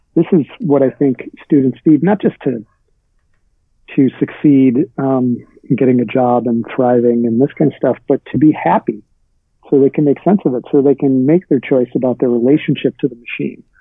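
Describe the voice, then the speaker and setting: A man talks at a moderate pace with medium pitch and ordinary pitch variation. It's a normal speaking voice. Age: 40s. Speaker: writer and writing teacher. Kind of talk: interview.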